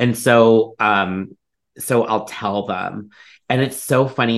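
A man with an American accent talks at a medium pitch against a quiet background. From Ohio, US Midwest. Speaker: psychic medium. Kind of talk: casual chat.

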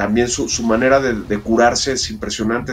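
A man's medium-pitched voice, fairly quick and fairly even in intonation, over noticeable background noise. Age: 50s. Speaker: diver and documentary filmmaker. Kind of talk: interview. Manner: halting.

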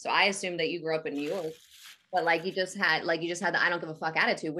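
In a New Jersey accent, the speaker talks at a very fast pace with a bright, sharp tone. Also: woman. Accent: New Jersey American. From New Jersey, Atlantic City area. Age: 30s. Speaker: podcast host. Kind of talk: casual chat.

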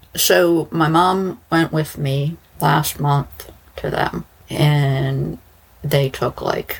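Speaking at a very slow pace, a woman uses a low pitch, vocal fry and fairly even intonation.

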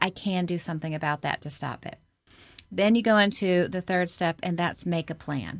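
A woman's ordinary speaking voice at a medium pitch, with ordinary pitch variation and a moderate pace, on a very clean recording with a silent background. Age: 40s. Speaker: author and speaker. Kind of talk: interview.

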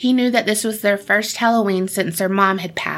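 What you hear is a natural reading voice.

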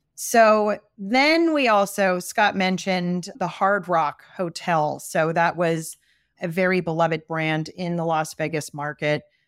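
A woman speaks slowly-ish, at a fairly slow pace, in an East Coast American accent. Her fairly low pitch shows ordinary variation, and the recording is very clean with a silent background. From US East Coast. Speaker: brand strategist. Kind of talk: casual interview chat.

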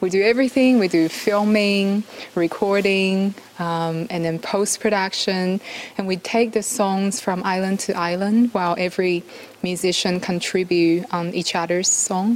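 Noticeable background noise sits behind a woman speaking fairly slowly in a medium pitch with fairly even intonation. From Taiwan. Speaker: musician and documentary maker. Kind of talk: interview. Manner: hesitant, many fillers.

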